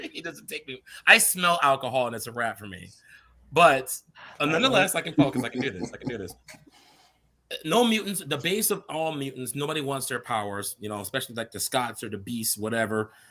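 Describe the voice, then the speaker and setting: A man talks at a fairly quick pace, his pitch swinging very widely and his loudness rising and falling sharply. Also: medium pitch for a man. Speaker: panelist on a movie discussion livestream. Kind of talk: casual panel discussion.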